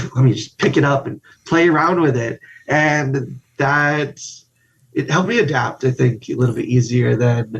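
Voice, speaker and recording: A man's somewhat breathy voice at medium pitch, with a moderate pace and ordinary pitch variation. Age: 30s. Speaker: guest, spinal cord injury survivor. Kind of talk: casual interview chat.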